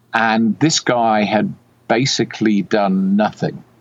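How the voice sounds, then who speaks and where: A man with a British accent talks with very wide pitch swings. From UK. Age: 60s. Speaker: software developer and retired doctor. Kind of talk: interview. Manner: hesitant, many fillers.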